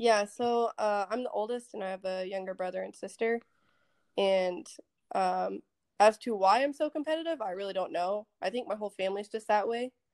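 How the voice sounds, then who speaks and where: A woman with an American accent and an ordinary speaking voice, at a medium pitch and moderate pace with lively intonation, in a very clean recording with a silent background and a dry, close sound with no echo. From Texas, Dallas area. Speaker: Air Force security forces member. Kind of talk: casual chat.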